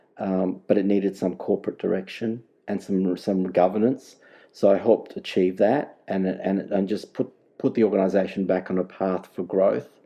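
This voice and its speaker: A man's fairly low, monotone, flat voice at a moderate pace, with an Australian accent. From South Australia, Adelaide. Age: 60s. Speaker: data governance manager. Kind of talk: podcast interview. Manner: halting, repetitive.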